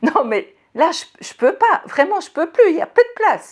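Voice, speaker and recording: Using a put-on character voice, a woman speaks at a moderate pace with an extremely high pitch, very wide pitch swings and big swings in loudness. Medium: read story. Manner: friendly, chatty.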